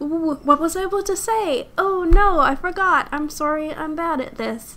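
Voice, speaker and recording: A woman's mumbling at a fairly slow pace. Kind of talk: Sims 4 speed build commentary. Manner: hesitant, stuttering, mumbling.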